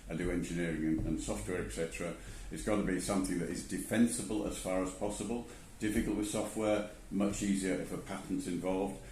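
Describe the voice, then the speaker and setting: Over noticeable background noise and audible room echo, a man with a very deep, low pitch talks at a very fast pace with fairly even intonation. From England. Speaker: angel investor. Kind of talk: interview.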